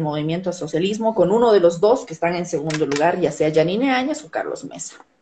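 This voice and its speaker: A woman with an ordinary speaking voice, fairly low pitch, ordinary pitch variation and fairly quick pace, light background noise behind her. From southern Bolivia (Tarija); Bolivia. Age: 30s. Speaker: TV news presenter and journalist; interview guest, journalist. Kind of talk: interview over video call. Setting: live stream call from her office. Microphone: video call.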